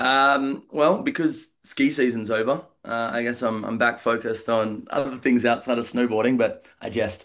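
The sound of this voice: With an Australian accent, a man speaks at a moderate pace and a medium pitch, his fairly bright tone and fairly even intonation broken by few pauses.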